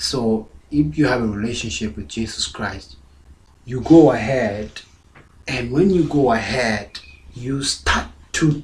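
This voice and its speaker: A man at a medium pitch with vocal fry, very wide pitch swings and a very slow pace, amid audible room echo. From South Sudan. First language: Dinka. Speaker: pastor. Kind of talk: sermon.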